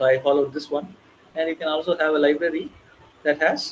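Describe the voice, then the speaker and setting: Here a man speaks at a fairly high pitch. His pace is moderate. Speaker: bootcamp instructor. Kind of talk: live coding tutorial. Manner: halting, with fillers.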